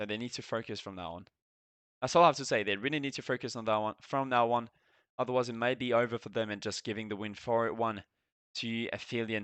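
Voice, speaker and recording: A man with a French accent talks at a very fast pace, medium pitch and fairly even intonation. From France. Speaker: esports caster and streamer. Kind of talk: live commentary. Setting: live stream.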